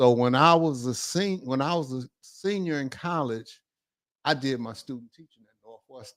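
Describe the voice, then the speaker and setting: In a very clean recording with a silent background, a man with an American accent and an unremarkable speaking voice talks at a moderate pace and medium pitch, showing ordinary pitch variation and big swings in loudness. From Detroit, Michigan. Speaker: retired basketball coach. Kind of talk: casual storytelling interview.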